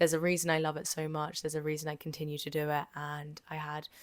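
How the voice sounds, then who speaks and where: A woman's very deep, low voice at a fairly quick pace, with a dry, close sound and no echo. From Jersey, Channel Islands. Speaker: podcast host. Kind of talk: casual monologue.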